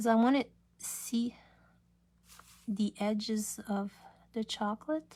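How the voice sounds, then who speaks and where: Her voice fairly high and somewhat breathy, a woman talks at a very slow pace. She takes long, frequent pauses and keeps her intonation fairly even. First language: French. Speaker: craft demonstrator. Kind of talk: live craft tutorial. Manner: casual, halting.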